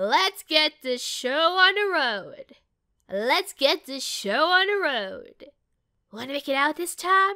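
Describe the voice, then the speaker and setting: A woman performs a put-on character voice at a high pitch, at a fairly slow pace. Her pitch swings very widely and her loudness rises and falls sharply. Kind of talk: game character audition lines.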